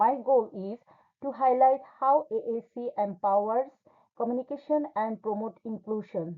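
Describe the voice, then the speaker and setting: With a non-native accent, a woman speaks at a moderate pace in a fairly high pitch, showing ordinary pitch variation. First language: not English. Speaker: graduate student. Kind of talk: class presentation. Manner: formal.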